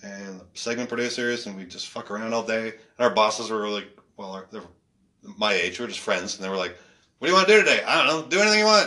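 A man speaks very fast at medium pitch with ordinary pitch variation. His tone is bright and sharp, and his loudness swings widely. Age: 40s. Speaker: stand-up comedian. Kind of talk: casual chat.

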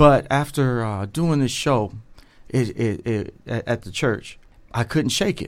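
With an American accent, a man in a normal speaking voice talks at a medium pitch and fairly slow pace, using ordinary pitch variation. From Dayton, Ohio. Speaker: actor. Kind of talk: interview. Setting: studio.

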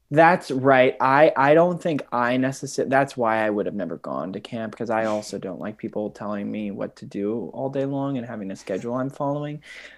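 A man with an American accent talks at a fairly quick pace, hardly pausing, in an unremarkable speaking voice of medium pitch. His pitch varies in an ordinary way while his loudness swings widely. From US Midwest, Twin Cities, Minnesota. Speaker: actor. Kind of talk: interview.

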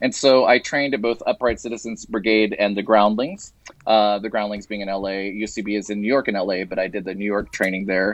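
A man with an ordinary speaking voice and an American accent talks at a fairly quick pace with hardly any pauses, his fairly low pitch following a fairly even intonation. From West Texas (Lubbock). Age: 40s. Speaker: actor. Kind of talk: casual chat.

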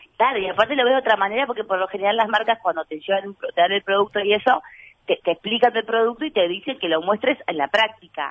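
In an ordinary speaking voice, a woman speaks at a fairly quick pace with medium pitch and lively intonation. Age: 30s. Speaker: actress and comedian. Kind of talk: casual interview chat.

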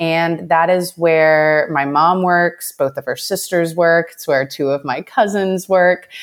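An unremarkable speaking voice in an American accent moves at a fairly slow pace with hardly any pauses. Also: woman, fairly low pitch for a woman. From Southeast Texas, US. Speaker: content strategy director. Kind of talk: casual interview.

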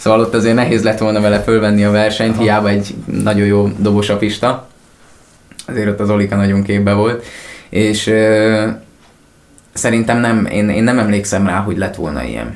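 Someone talks at a fairly quick pace amid audible room echo. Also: man. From Sopron, western Hungary. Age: 20s. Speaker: rock singer. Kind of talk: interview.

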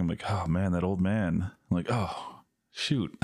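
In a very clean recording with a silent background, a man talks with fairly even intonation. He has an ordinary speaking voice. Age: 30s. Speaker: podcast co-host. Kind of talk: casual chat.

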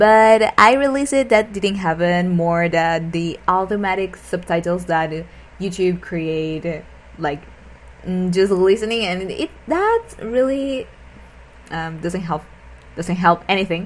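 Speaking at a very slow pace with a non-native accent, a woman has a medium pitch and ordinary pitch variation. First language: not English. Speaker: podcast host, language learner. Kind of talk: casual solo monologue. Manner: halting.

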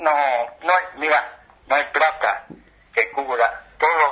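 A man with an Argentine accent at a very slow pace. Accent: Rioplatense Argentine Spanish. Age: 70s. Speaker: retired footballer. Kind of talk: interview.

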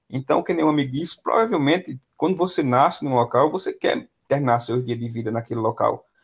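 Somewhat breathy, a man talks at a fairly quick pace with a fairly high pitch and lively intonation. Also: hardly any pauses. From Pernambuco interior, Brazil. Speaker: math teacher. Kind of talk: casual interview.

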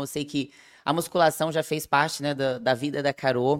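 A woman with a very deep, low pitch talks at a moderate pace, recorded very cleanly against a silent background. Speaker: nutritionist and podcast host. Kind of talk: casual chat.

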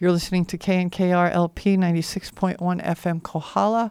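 Woman's fairly low-pitched, a normal speaking voice, at a moderate pace in a very clean recording with a silent background. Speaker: radio host. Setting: radio studio broadcast. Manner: relaxed, chatty, laughs easily, friendly.

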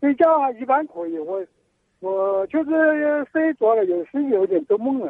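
A man talks at a fairly slow pace with an extremely high pitch. His pitch swings are very wide. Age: 60s. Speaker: caller. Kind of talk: phone-in health consultation. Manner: halting, repeats words.

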